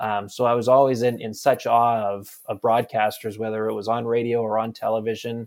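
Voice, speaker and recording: Speaking with a Western Canadian accent, a man uses monotone, flat intonation. His pitch is medium and his pace fairly quick. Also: hardly any pauses. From Campbell River, British Columbia, Canada. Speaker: sports reporter. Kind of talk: interview. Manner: halting, many repetitions.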